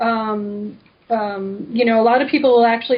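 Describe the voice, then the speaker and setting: Fairly high and somewhat breathy, a woman's voice carries fairly even intonation. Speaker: energy healer, author. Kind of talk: radio interview. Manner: fast; casual, filler-heavy.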